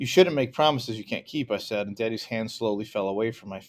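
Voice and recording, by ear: Here someone is reading aloud in a natural voice.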